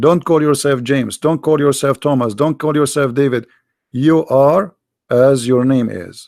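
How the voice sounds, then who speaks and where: Fairly high in pitch, a man speaks at a moderate pace with ordinary pitch variation. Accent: Arabic. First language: Arabic. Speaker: religious debater. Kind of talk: live debate show. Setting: live online broadcast.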